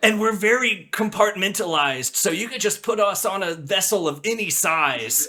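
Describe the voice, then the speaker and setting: Using a put-on character voice with a high pitch, a man talks at a moderate pace over light background noise. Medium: actual play. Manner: folksy, earnest.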